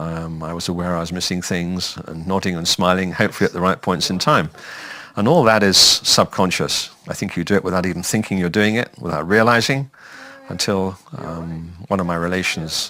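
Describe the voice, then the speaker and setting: Very deep and low in pitch, a man talks at a fairly quick pace. He has a southern English accent. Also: ordinary pitch variation. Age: 70s. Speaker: retired man with hearing loss. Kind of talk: testimony.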